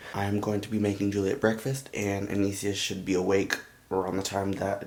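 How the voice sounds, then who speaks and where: A man speaks quietly at a very fast pace, with a fairly low pitch. Room echo is audible. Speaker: vlogger, young father. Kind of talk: casual vlog. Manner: quiet, talking low.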